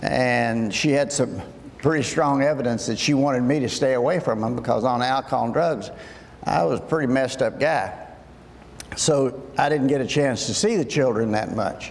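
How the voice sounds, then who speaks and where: A man speaks with a Kentucky accent and ordinary pitch variation. Room echo and background noise are both noticeable. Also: moderate pace. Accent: Southern US (Kentucky). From US South, western Kentucky. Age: 70s. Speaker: addiction medicine doctor. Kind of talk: talk to high school students.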